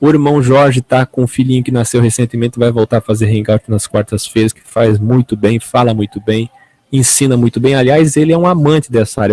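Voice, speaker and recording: This voice has a dark, mellow tone and ordinary pitch variation, moving at a fairly quick pace with a dry, close sound and no echo. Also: man. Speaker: online evangelical preacher and show host. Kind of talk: unscripted talk to camera.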